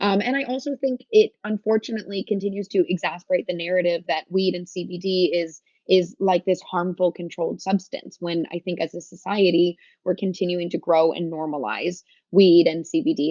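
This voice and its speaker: Her pitch is fairly low, with ordinary variation, and this woman speaks at a very fast pace. Her loudness swings widely. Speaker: cannabis business founder. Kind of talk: interview. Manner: casual, animated.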